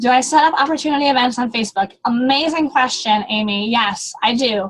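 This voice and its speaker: This woman's voice is high in pitch with ordinary pitch variation. She talks at a fairly quick pace. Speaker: direct sales team leader. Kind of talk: motivational team call. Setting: online group call. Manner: fast; animated.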